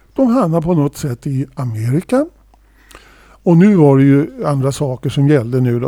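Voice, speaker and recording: A man's unremarkable speaking voice, fairly high in pitch, at a moderate pace with ordinary pitch variation. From Sweden. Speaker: podcast co-host and drummer. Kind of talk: casual chat.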